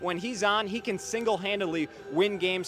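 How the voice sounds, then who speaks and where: Over music in the background, a man with a high pitch uses a raised, projected voice with ordinary pitch variation. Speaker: hockey play-by-play broadcaster. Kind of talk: pregame preview broadcast segment.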